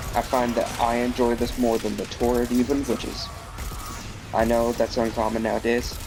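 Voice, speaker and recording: Over music in the background, a man speaks in a monotone, flat intonation. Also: medium pitch for a man, moderate pace. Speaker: gaming video creator. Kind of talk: gameplay commentary. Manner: stuttering a bit; halting. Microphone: bad mic quality.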